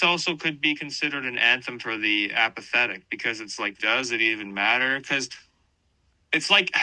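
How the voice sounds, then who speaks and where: A man's medium-pitched voice, fairly quick, with lively intonation and a bright, sharp tone. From western Canada. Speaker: band vocalist and guitarist. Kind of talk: interview. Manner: animated, casual with many fillers.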